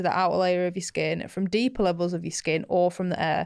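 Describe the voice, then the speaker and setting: A woman at medium pitch and a fairly quick pace, in a very clean recording with a silent background. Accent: Mancunian. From Manchester, England. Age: 20s. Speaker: skincare podcast co-host. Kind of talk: casual explainer chat. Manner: animated.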